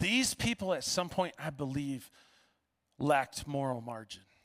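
Recorded very cleanly against a silent background, a man speaks at a fairly high pitch with ordinary pitch variation. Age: 40s. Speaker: pastor. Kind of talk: sermon. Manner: casual, with many fillers.

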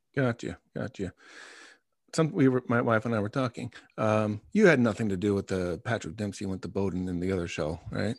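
In a very clean recording with a silent background and a dry, close sound with no echo, a man with an American accent has an ordinary speaking voice, a fairly low pitch, ordinary pitch variation and a fairly quick pace. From Long Island, New York. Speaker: podcast host. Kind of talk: casual interview.

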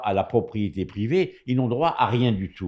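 Against a quiet background, a man's dark, mellow voice moves through very wide pitch swings. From Morocco. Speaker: radio commentator. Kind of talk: radio panel discussion.

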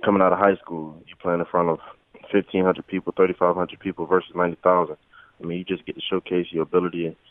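Talking at a very fast pace with a Southern US accent, a man with a very deep, low pitch keeps a monotone, flat intonation while his loudness swings widely. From US South, rural Florida. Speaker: college football player. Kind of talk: phone interview.

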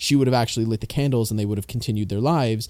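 A man speaks in a dark, mellow tone with a Canadian accent and ordinary pitch variation. The recording is very clean, with a silent background. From Canada. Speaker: podcast host. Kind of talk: casual chat.

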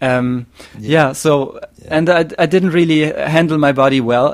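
This man speaks with a German accent. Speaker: podcast host. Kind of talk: casual chat. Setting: video call. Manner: halting.

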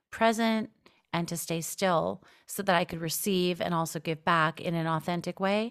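This woman has an unremarkable speaking voice, fairly low in pitch, with fairly even intonation at a moderate pace. The recording is very clean, with a silent background. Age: 40s. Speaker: writer and podcast host. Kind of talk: interview.

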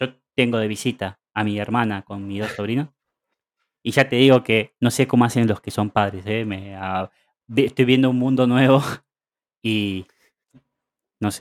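A man with an Argentine accent, medium pitch, fairly even intonation, and a moderate pace broken by long, frequent pauses, on a very clean recording with a silent background and a dry, close sound with no echo. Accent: Argentine Spanish (Rioplatense). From Argentina. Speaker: podcast co-host. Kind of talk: casual chat.

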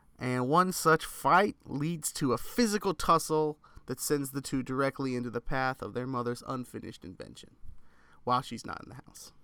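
In a very clean recording with a silent background, a man speaks at a moderate pace with a medium pitch, a bright, sharp tone and ordinary pitch variation. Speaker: podcast co-host. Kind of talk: casual chat.

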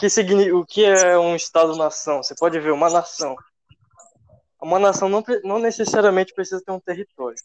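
A man with a high pitch and ordinary pitch variation, at a moderate pace, in a dry, close sound with no echo. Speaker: geography student. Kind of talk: casual chat. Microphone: too quiet.

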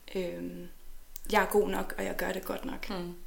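Vocal fry marks a woman's medium-pitched voice as she speaks at a moderate pace amid audible room echo. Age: 30s. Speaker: neuropsychologist. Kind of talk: interview. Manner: halting.

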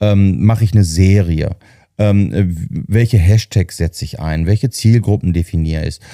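A man's very deep, low voice with a dark, mellow tone, ordinary pitch variation, and a moderate pace, in a very clean recording with a silent background and a dry, close sound with no echo. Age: 50s. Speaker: marketing head. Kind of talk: casual chat.

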